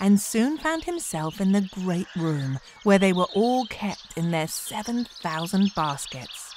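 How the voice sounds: A natural reading voice with lively intonation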